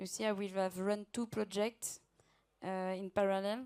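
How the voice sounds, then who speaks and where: A woman speaks with a French accent at medium pitch. Her pace is moderate. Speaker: client project manager. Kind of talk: conference Q&A.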